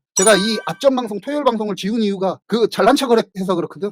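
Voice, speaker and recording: A man's high voice at a very fast pace, with ordinary pitch variation, a dry, close sound with no echo, and music in the background. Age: 50s. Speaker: writer and livestream host. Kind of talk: casual livestream talk. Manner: self-described poor pronunciation; casual, conversational.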